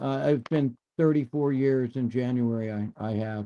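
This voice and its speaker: Speaking at a very slow pace with an American accent, the man has a dark, mellow tone. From Michigan. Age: 70s. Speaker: rock musician. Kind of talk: casual chat.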